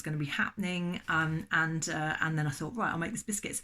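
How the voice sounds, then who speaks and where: A fairly low-pitched woman with an English accent, ordinary pitch variation and a very fast pace. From England. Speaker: baking channel host. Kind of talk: casual vlog chat. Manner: halting.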